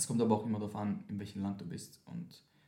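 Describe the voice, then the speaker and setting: A man with fairly low pitch, vocal fry and a moderate pace, with audible room echo. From Austria, Vienna. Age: 20s. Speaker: dancer and dance teacher. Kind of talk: casual chat. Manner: mixes German and English.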